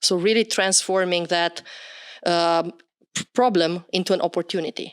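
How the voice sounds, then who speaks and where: A woman with a Romanian accent speaks at a moderate pace, her pitch fairly low and her intonation fairly even. The sound is dry and close, with no echo. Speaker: podcast host. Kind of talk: interview.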